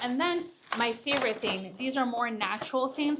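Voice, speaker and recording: The woman's voice is high in pitch, and her pace is moderate. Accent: non-native. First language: not English. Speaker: gardening YouTuber. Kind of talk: casual gardening tutorial. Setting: greenhouse. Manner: casual, filler-heavy.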